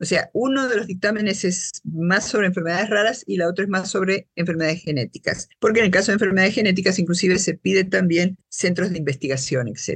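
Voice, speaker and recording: Somewhat breathy, a woman talks at a very fast pace with hardly any pauses. Her pitch is medium with ordinary pitch variation. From Argentina, Buenos Aires. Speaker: social scientist and patient advocate. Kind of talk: interview.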